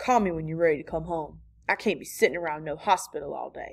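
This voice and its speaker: A woman puts on a gravelly, growling character voice at a fairly low pitch, speaking very fast in a very clean recording with a silent background. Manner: growling, curt.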